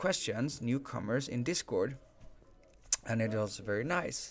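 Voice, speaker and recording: At a moderate pace, a man with a Swedish accent talks at medium pitch with ordinary pitch variation. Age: 30s. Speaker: game livestream host. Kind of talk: live stream chat with viewers. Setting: live stream.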